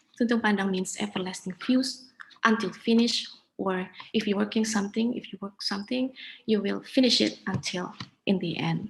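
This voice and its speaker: A woman speaks in an Indonesian accent at a medium pitch with vocal fry. Her pace is moderate. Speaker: conference speaker. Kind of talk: conference presentation. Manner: halting.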